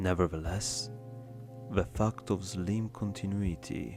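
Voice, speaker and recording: Music plays in the background as a man speaks. His fairly low voice moves at a fairly slow pace. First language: not English. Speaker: ASMR reader. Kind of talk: ASMR reading of an academic text. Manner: soft-spoken.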